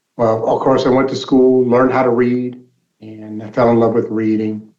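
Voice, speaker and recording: A man speaks at a medium pitch with a General American accent, his intonation monotone and flat, and audible room echo surrounds him. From Alaska (Anchorage). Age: 60s. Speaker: nonprofit mentor and advocate. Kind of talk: interview testimony.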